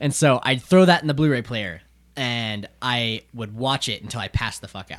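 A man speaks at a moderate pace with medium pitch, ordinary pitch variation, big swings in loudness and an unremarkable speaking voice. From not the US South. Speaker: podcast host. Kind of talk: casual chat.

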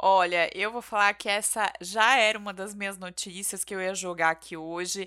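On a very clean recording with a silent background, a woman with a bright, sharp tone speaks at a medium pitch with hardly any pauses. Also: fairly even intonation, moderate pace. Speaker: podcast co-host. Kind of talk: casual chat.

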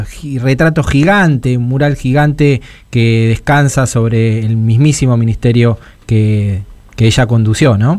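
A man with an unremarkable speaking voice, medium in pitch, with ordinary pitch variation. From Buenos Aires western suburbs, Argentina. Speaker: radio host. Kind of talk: radio interview. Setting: radio studio.

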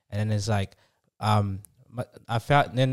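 At a fairly slow pace, a man with an unremarkable speaking voice and medium pitch talks with fairly even intonation, in a dry, close sound with no echo and a very clean recording with a silent background. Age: 20s. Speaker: author. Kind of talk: casual chat.

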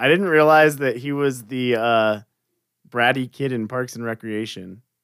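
On a very clean recording with a silent background, a man with an ordinary speaking voice talks at a fairly slow pace and medium pitch with ordinary pitch variation. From Florida. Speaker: podcast host. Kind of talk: casual interview.

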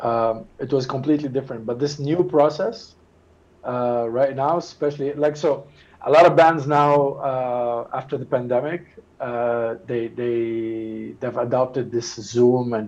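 Speaking at a fairly slow pace with fairly even intonation, a man has a medium-pitched, an ordinary speaking voice. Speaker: guitarist. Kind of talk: casual interview chat.

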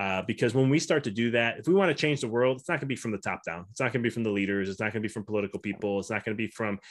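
In a very clean recording with a silent background, a man with an American accent talks at a fairly low pitch with ordinary pitch variation. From US Midwest, Chicago. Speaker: chiropractor turned mindset coach. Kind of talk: casual interview chat.

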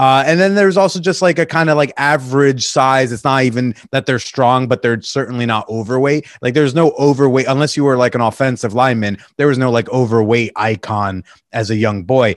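A man with a plain, everyday voice and an American accent, medium pitch, ordinary pitch variation, a fairly quick pace and hardly any pauses. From Connecticut, US. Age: 30s. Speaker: podcast host. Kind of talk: casual chat.

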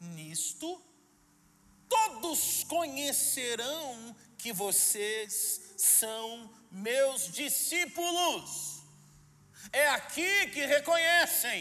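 A man with a Brazilian accent speaks in a raised, projected voice at an extremely high pitch and a very slow pace. His bright, sharp tone makes very wide pitch swings, with audible room echo around it. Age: young. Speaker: pastor. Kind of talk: sermon. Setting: church. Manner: animated.

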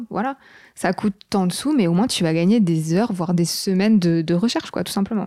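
Fairly quick speech in a dark, mellow tone with ordinary pitch variation. The recording is very clean, with a silent background. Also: woman. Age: 20s. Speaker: freelance graphic designer. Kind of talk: casual interview.

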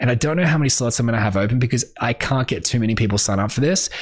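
The tone is animated, with lively intonation. Noticeable background noise is present. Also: man. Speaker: music industry podcast host. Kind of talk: solo podcast monologue. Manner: fast.

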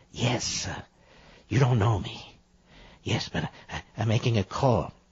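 A man's put-on character voice, medium in pitch, at a fairly slow pace with fairly even intonation. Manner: sleazy, creepy, leering.

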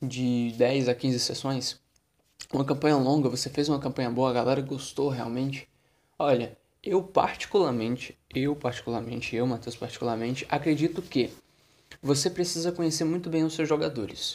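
With ordinary pitch variation, a man's medium-pitched voice moves along at a moderate speed. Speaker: podcast host, tabletop RPG game master. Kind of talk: solo podcast monologue. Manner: casual, conversational.

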